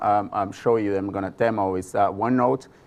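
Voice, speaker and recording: A man speaks with a strong Brazilian accent. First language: Portuguese. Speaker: product marketing manager presenter. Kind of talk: conference presentation. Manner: hesitant, many fillers.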